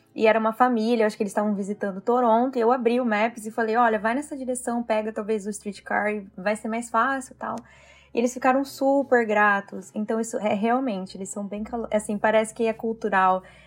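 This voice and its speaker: Fairly quick and fairly even in intonation, this is an ordinary speaking voice. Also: woman, fairly high pitch for a woman. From Brazil, interior of São Paulo state. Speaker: Brazilian immigrant in Canada. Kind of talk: casual chat.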